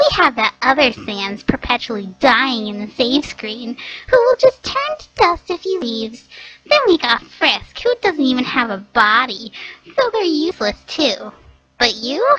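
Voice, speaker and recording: In a put-on character voice, this female-sounding speaker talks at a high pitch for a woman. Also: moderate pace. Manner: snide, bratty, contemptuous.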